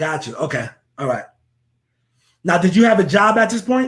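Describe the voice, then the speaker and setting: A man with an American accent, very wide pitch swings and a fairly quick pace. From northern New Jersey. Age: 30s. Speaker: real estate investor, interview host. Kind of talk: casual interview.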